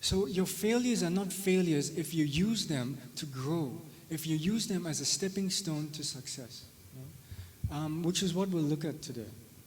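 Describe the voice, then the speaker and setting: On a recording with audible room echo, a man talks at a moderate pace with a fairly high pitch and ordinary pitch variation. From South Africa. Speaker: spirituality teacher. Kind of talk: lecture. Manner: hesitant, many fillers; conversational, tag questions.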